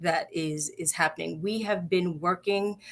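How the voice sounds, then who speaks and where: A woman speaks with a New York accent and lively intonation. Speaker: nonprofit health organization CEO. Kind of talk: live-streamed interview. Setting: Facebook Live video stream.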